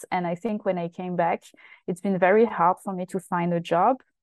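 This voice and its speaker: A woman with a French accent talks at a fairly quick pace. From France, Paris southern suburbs (Essonne). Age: 30s. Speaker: activist and campaigner. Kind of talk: interview.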